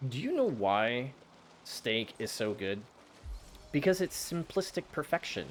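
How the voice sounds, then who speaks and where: A man's medium-pitched voice with an American accent, animated and at a moderate pace, over music in the background. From USA. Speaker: vtuber gaming streamer. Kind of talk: casual live stream chat.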